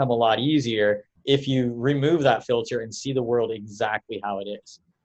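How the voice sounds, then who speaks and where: A man with an ordinary speaking voice, medium pitch, fairly even intonation and hardly any pauses. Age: 30s. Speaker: podcast co-host. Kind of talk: casual interview.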